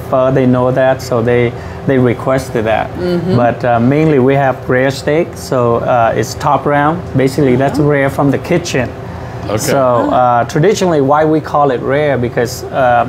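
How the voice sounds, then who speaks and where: Fairly even intonation marks a man talking amid noticeable background noise. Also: moderate pace. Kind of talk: interview answer. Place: cafe. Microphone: lapel.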